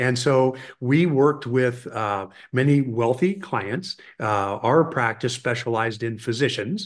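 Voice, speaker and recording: In a plain, everyday voice, a man speaks at a fairly slow pace and medium pitch with ordinary pitch variation. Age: 50s. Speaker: financial adviser and children's leadership educator. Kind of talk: casual chat.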